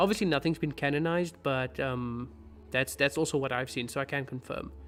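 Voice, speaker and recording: Music plays in the background as a man speaks. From South Africa, Cape Town. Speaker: fantasy book video creator. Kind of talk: live stream Q&A. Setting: live stream.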